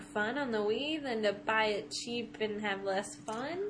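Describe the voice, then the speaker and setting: A woman talks with lively intonation while noticeable background noise plays behind her. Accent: slight Ohio. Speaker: podcast co-host, video game talk. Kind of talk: casual banter.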